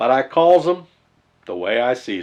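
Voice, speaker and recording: Putting on a gruff character voice, a man speaks at a moderate pace and medium pitch with very wide pitch swings. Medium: read story. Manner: barking, gruff.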